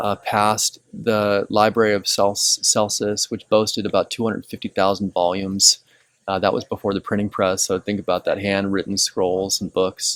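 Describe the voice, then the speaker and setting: Soft-spoken and monotone, a man with a fairly low pitch talks with flat intonation in a dry, close sound with no echo. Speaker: pastor. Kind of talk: informal teaching on location. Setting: outdoors at ancient ruins. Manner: hesitant, many fillers.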